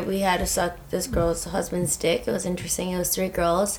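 Noticeable background noise sits behind a woman speaking. She talks at a fairly quick pace and a medium pitch. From San Diego, Southern California. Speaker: podcast co-host. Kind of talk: casual chat.

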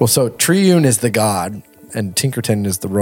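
Someone reads in a natural voice. Their intonation is lively.

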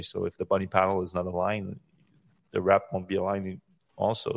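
The man talks very fast at a fairly low pitch, in a French accent. His recording is very clean with a silent background. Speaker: podcast host. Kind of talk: casual chat. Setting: live stream.

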